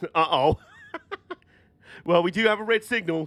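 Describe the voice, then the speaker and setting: The words come at a moderate pace in a British accent. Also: man. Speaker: streamer playing train simulator. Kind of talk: live gameplay stream commentary. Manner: casual, chatty.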